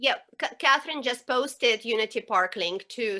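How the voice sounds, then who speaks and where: Fairly high in pitch, a woman with a non-native accent talks in a bright, sharp tone. Her pace is fairly quick, with ordinary pitch variation. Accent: foreign. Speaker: professor. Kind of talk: panel discussion.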